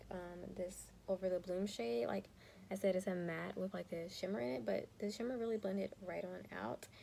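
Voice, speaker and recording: Soft-spoken, a woman talks at a fairly quick pace. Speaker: teacher and beauty youtuber. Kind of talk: casual chat. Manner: quiet, soft-spoken.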